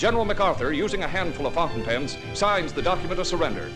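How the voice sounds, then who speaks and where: Music plays in the background as a man talks. His pitch is high and his pace fairly quick. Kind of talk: newsreel narration.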